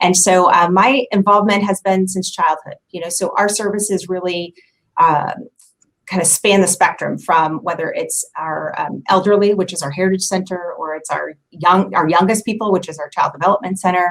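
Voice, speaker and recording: A woman with a Midwestern US accent and fairly even intonation. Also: medium pitch for a woman, moderate pace. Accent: US Midwest. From Kansas City area. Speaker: community center staff member. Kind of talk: casual interview.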